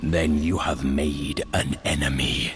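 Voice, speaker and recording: In a put-on character voice, a man talks at a fairly slow pace with a very deep, low pitch while clear background noise runs behind him. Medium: machinima. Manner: firm, defiant.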